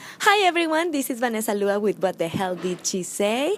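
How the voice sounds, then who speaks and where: A woman with a non-native accent speaks with very wide pitch swings over noticeable background noise. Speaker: interviewer. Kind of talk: video intro.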